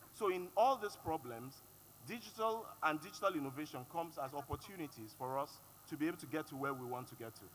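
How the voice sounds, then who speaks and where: With music in the background, a voice in a Yoruba accent races along very fast, with lively intonation and big swings in loudness. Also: man, fairly high pitch for a man. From Nigeria (Yoruba). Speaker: panelist. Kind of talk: panel discussion.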